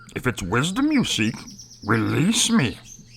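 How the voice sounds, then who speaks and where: A man puts on a character voice at a medium pitch and a moderate pace. Clear background noise is present. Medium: audio drama. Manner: inverted word order, slow, humming pauses; cryptic, riddling.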